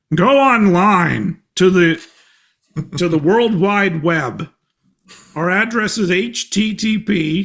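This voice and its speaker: Putting on a character voice, a man speaks with a high pitch and ordinary pitch variation at a very slow pace, with long, frequent pauses. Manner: mock old-fashioned speech.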